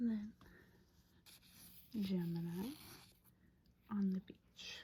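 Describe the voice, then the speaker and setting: A soft-spoken woman's whisper, somewhat breathy and very slow. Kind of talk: ASMR room tour, casual talk to camera. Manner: whispered, soft-spoken.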